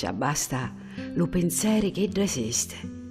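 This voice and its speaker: A woman's words unfold very slowly against background music. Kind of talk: poetry reading.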